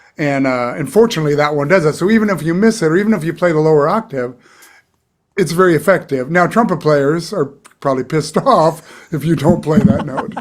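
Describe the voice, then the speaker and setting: A man speaks fairly quickly in a plain, everyday voice, his fairly high pitch showing ordinary pitch variation. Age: 60s. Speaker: session trumpet player. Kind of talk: casual interview conversation.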